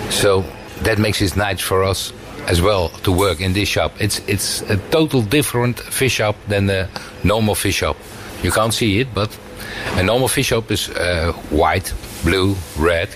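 A man with a Dutch accent, fairly low pitch and very even loudness, at a fairly slow pace, with noticeable background noise. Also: ordinary pitch variation. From Netherlands, fishing town. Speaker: fishmonger. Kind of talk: interview.

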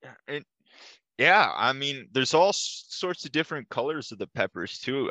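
A man with an American accent speaks at a moderate pace in a bright, sharp tone with vocal fry. The sound is dry and close with no echo, over a quiet background. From Minnesota. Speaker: podcaster. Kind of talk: casual chat. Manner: halting.

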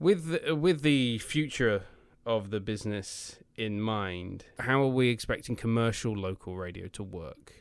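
A man with a British accent speaks at a fairly slow pace. His pitch is medium, and the recording is very clean with a silent background. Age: 20s. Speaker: podcast host. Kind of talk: casual interview chat.

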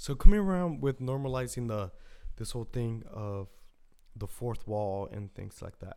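A man with a dark, mellow tone speaks at a moderate pace. His intonation is lively, with big swings in loudness. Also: medium pitch for a man. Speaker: podcast host. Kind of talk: casual solo monologue. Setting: home, solo recording. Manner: rambling, casual, halting.

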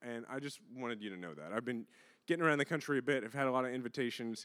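An animated man with an American accent talks at a very fast pace and a medium pitch. The recording is very clean with a silent background. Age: 30s. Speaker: politician and voting rights advocate. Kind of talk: speech then onstage conversation. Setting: stage with audience.

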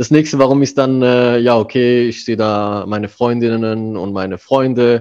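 The speaker keeps a moderate pace with hardly any pauses. The intonation stays fairly even. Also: man, medium pitch for a man. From Germany. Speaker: manager. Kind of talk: interview. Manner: hesitant, many fillers.

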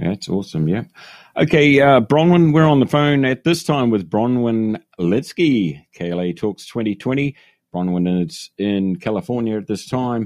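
A man with a New Zealand accent, medium in pitch, fairly slow, with very wide pitch swings and a dry, close sound free of echo. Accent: New Zealand, still retained. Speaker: podcast host. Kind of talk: casual interview chat. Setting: phone call.

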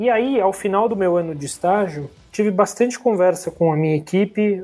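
Moving at a moderate pace, a man speaks in a high pitch with ordinary pitch variation. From São Paulo city, Brazil. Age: 20s. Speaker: corporate management trainee. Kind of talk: casual interview.

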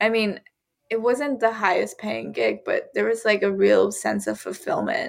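An American accent marks this woman's speech. She talks at a fairly slow pace. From US South, Georgia. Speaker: violinist. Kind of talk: casual chat.

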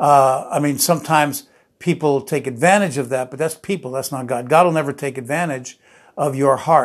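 This man has an American accent and a fairly high pitch. His intonation is fairly even, and the recording is very clean with a silent background. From New Jersey. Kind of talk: sermon. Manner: halting.

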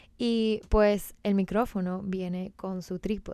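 A woman speaks with a Venezuelan accent at a medium pitch. Her tone is dark and mellow, and her intonation is monotone and flat. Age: 20s. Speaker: podcast host and personal trainer. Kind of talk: casual solo podcast monologue.

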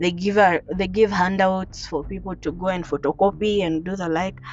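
Noticeable background noise sits behind a woman with a fairly low pitch. She keeps a moderate pace and fairly even intonation. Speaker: podcaster. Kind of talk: personal story monologue. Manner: rambling.

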